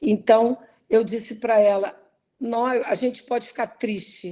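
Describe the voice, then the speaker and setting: The woman has a dark, mellow tone and a fairly high pitch with ordinary pitch variation. Her recording is very clean, with a silent background. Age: 60s. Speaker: professor. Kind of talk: lecture.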